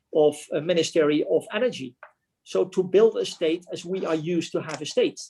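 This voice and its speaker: In a Dutch accent, a man speaks at a moderate pace with a high pitch and a dark, mellow tone. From Netherlands. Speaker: retiring military officer. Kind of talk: club talk presentation.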